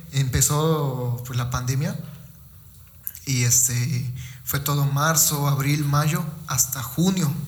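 Amid audible room echo, a man with a fairly high pitch speaks at a very slow pace, with fairly even intonation and long, frequent pauses. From Mexico, Veracruz (Fortín de las Flores). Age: 20s. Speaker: professional wrestler. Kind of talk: casual interview. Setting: physiotherapy clinic. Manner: halting, many fillers.

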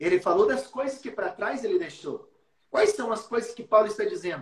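With an extremely high pitch and very wide pitch swings, a man speaks at a moderate pace. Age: 40s. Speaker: youth pastor. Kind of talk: preaching in a live stream.

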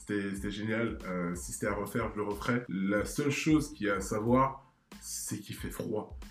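Audible room echo surrounds a man who speaks at a moderate pace in a fairly low pitch with very wide pitch swings. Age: 20s. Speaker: startup manager. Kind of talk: casual interview.

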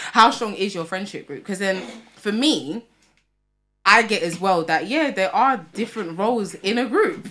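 A woman speaks with a London accent. Her tone is bright and sharp. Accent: London multicultural English. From England, Tottenham, North London. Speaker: podcast co-host. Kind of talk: casual chat.

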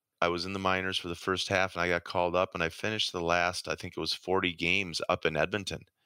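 Speaking at a fairly quick pace with an Upper Midwest accent, a man with a very deep, low pitch and a bright, sharp tone is heard in a dry, close recording with no echo, very clean, with a silent background. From southern Minnesota, Rochester. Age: 50s. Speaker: retired pro ice hockey player. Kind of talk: interview.

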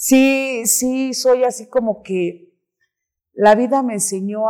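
A woman talking at a very slow pace, with ordinary pitch variation. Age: 30s. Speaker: recovering addict. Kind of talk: interview testimony. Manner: animated.

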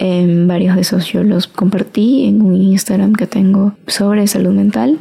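A woman talks in an unremarkable speaking voice at medium pitch. Her intonation stays fairly even. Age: 20s. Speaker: podcaster. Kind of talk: solo casual monologue.

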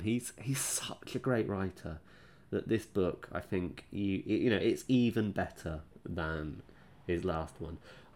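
A man with a fairly low pitch, a dark, mellow tone, lively intonation and an English accent, at a very slow pace. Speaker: book podcast host. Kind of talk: solo book review podcast. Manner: slower than normal.

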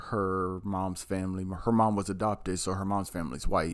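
A man with an American accent is heard in a very clean recording with a silent background. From Maryland. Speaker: podcast co-host. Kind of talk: casual chat.

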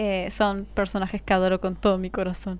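A woman's voice at medium pitch. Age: 20s. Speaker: influencer and model. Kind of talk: casual chat.

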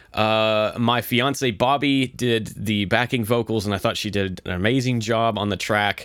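Fairly slow, fairly even speech with hardly any pauses. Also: man. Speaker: podcast host and musician. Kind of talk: casual solo podcast monologue. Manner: casual, filler-heavy, self-deprecating.

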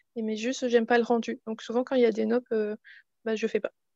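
The woman's voice sounds dry and close with no echo, over a quiet background. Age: 30s. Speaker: knitting podcaster. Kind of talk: casual interview.

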